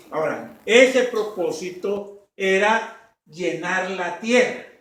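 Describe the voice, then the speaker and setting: A man's high-pitched, lively voice carries through audible room echo and noticeable background noise. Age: 60s. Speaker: pastor. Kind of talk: sermon.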